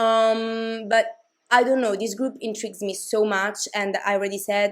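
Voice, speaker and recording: Monotone, flat intonation in a non-native accent. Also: woman. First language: not English. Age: 20s. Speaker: K-pop commentary YouTuber. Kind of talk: casual vlog commentary. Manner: hesitant, many fillers and restarts.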